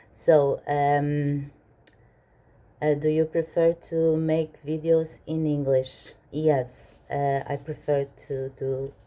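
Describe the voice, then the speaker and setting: A woman with a Portuguese accent speaks at a very deep, low pitch in a dark, mellow tone. Her pace is very slow and her intonation monotone and flat. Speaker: minimalist vlogger. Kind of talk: Q&A vlog. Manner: hesitant, many fillers.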